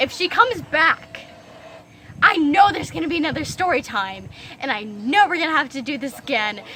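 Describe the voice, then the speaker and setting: Over noticeable background noise, a woman speaks in a raised, projected voice at a moderate pace, animated in tone with very wide pitch swings. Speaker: storytime vlogger. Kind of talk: storytime rant.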